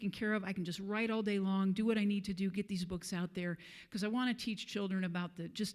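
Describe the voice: Intonation stays fairly even. The clip is plain reading aloud.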